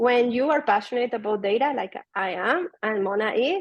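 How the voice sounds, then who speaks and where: A woman with a Spanish accent speaks at a moderate pace, her fairly high pitch carried by lively intonation. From Venezuela. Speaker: data product manager. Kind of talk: conference talk.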